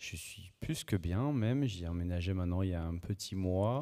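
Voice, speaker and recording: In a very clean recording with a silent background, a man with a very deep, low voice and a dark, mellow tone talks with lively intonation. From French Basque Country. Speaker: housing buyer giving testimony. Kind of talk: panel testimony.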